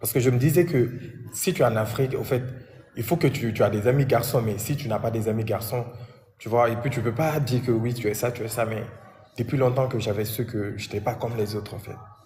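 With a dark, mellow tone and a somewhat breathy quality, a man speaks at a medium pitch and a fairly quick pace, his intonation fairly even, with audible room echo. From Guinea, Conakry. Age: 20s. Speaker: interviewee sharing life story. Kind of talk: personal testimony interview. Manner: halting, repetitive.

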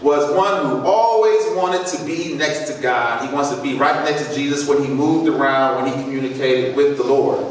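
With strong room echo and light background noise, a man talks at a moderate pace. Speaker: presenter. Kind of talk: sermon-style talk. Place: church. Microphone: camera far.

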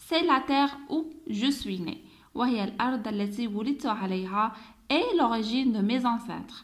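In an Algerian accent, a woman speaks at a moderate pace. Her voice is high, with ordinary pitch variation. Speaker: French teacher. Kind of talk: tutorial.

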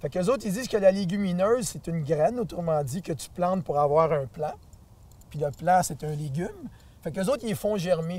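With a Quebec accent, a man talks at a fairly quick pace in a high pitch, his tone dark and mellow and his intonation lively, the sound dry with no echo. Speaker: nutrition advocate. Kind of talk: interview answer. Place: garden.

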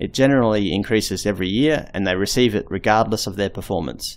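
A man speaks with an Australian accent. His pace is fairly quick and his intonation fairly even. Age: 30s. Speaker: video blogger. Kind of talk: scripted narration.

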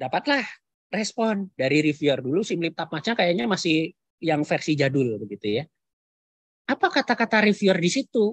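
A man speaks at a high pitch and a fairly quick pace, with very wide pitch swings. The sound is dry with no echo, over a quiet background. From Central Java, Kebumen; Central Java, Indonesia. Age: 40s. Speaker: university lecturer. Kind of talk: webinar lecture. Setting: video call. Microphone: video call.

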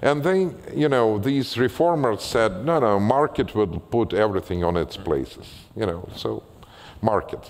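A man with a Russian accent speaks at a fairly slow pace. His pitch swings very widely. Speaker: writer and former physician; guest. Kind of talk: public conversation with audience Q&A. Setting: stage with audience. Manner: halting. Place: stage.

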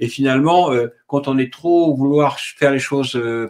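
This man has an unremarkable speaking voice. His pitch is medium and his intonation fairly even. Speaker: live video host. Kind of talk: live-streamed interview. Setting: online video livestream. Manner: chatty, a bit flustered by tech problems.

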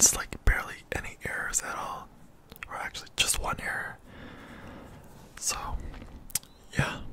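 A man whispers, leaving long, frequent pauses. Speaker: ASMR creator. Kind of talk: casual vlog chat. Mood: happy about passing test. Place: home room. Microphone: studio mic.

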